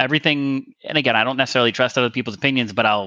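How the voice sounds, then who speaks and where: A man speaks at a very fast pace. His medium pitch varies in an ordinary way. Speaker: gaming community member. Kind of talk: casual chat. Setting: online call, unstable internet.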